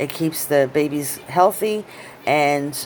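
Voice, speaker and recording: Against noticeable background noise, a woman with a very deep, low pitch speaks with lively intonation. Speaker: hobby vlogger, pet keeper. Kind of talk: casual vlog tutorial. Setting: at home. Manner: hesitant with fillers.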